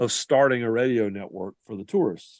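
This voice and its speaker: A man with a Southern US accent at a fairly quick pace, against a quiet background. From US South. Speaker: sports writer and reporter. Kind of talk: podcast interview.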